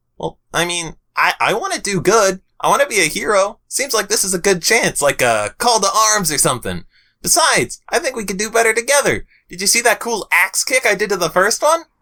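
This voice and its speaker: A man uses a put-on character voice pitched high. He goes at a fairly quick pace in a very clean recording with a silent background. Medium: read story. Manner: casual, slangy.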